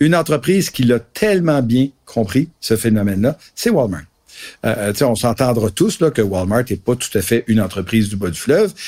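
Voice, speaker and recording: With a Quebec accent, a man speaks at a moderate pace and medium pitch, his tone dark and mellow and his intonation lively. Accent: Québécois French. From Gaspésie, Quebec. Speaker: marketing professor and co-author. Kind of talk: casual discussion.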